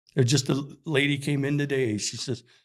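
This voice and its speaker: On a very clean recording with a silent background, a man with an Upper Midwest accent speaks at a fairly high pitch. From Minnesota. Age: 60s. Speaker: hockey store employee. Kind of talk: casual chat. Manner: halting.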